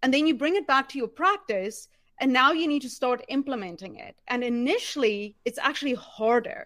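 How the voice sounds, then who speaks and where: The intonation is lively. The woman speaking has a high pitch. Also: moderate pace, very clean recording, silent background. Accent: slight non-native. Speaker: office manager. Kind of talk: interview.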